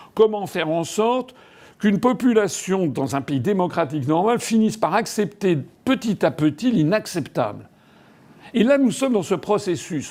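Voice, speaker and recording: Over a very clean recording with a silent background, a man talks at a moderate pace with lively intonation. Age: 60s. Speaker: politician. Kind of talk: political monologue. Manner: halting.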